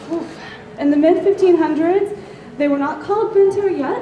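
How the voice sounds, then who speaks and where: A woman speaks in a Southern US accent with lively intonation. Noticeable background noise and audible room echo fill the recording. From US South. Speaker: convention panelist. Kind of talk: lecture. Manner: hesitant, many ums.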